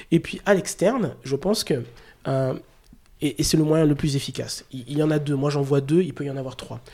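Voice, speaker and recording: At a fairly quick pace, a man with a fairly high pitch and a dark, mellow tone talks with ordinary pitch variation. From Chad. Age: 40s. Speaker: recruitment director. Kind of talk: interview. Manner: halting.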